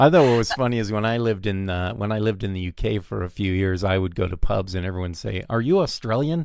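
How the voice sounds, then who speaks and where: With hardly any pauses, a man with a fairly low pitch talks at a very fast pace and ordinary pitch variation. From Southern California. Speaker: podcast host and film director. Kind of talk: casual interview chat. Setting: video call.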